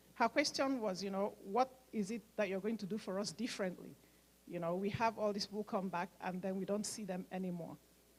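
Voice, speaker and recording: Somewhat breathy, a woman talks at a medium pitch and a fairly quick pace, with ordinary pitch variation. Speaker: nurse and medical mission organizer. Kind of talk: speech at fundraising event.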